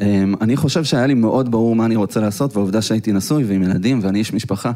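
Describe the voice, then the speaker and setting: Speaking at a very fast pace, a man with a fairly low pitch has a dark, mellow tone. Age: 30s. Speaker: tech entrepreneur. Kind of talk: live interview. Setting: stage with audience.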